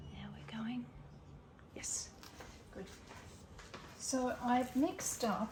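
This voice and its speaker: A woman with an Australian accent speaks at a very slow pace, taking long, frequent pauses. Audible room echo and noticeable background noise fill the recording. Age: 70s. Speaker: resin craft YouTuber. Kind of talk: casual crafting tutorial.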